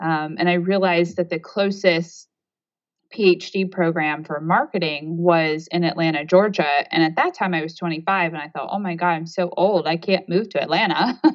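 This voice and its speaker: With a plain, everyday voice, a woman with a fairly low pitch talks at a moderate pace and keeps her intonation fairly even. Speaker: organizational coach. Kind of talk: casual interview chat. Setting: phone or video call.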